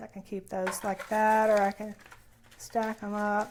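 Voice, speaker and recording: A soft-spoken woman talks here. Her pace is fairly slow. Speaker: crafting YouTuber. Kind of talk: casual vlog chat. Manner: halting, many fillers.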